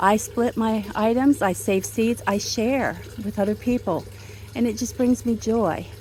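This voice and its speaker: Over noticeable background noise, a woman speaks in a relaxed tone at a fairly high pitch with ordinary pitch variation. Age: 60s. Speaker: home gardener vlogger. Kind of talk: casual garden tour video. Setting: outdoors in garden. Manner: relaxed conversational.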